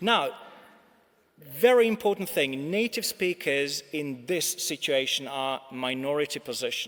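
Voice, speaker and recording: A man with lively intonation speaks rather slowly while clear background noise carries on behind him. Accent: Czech. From Czech Republic. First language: Czech. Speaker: English teacher and language centre director. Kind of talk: conference plenary talk.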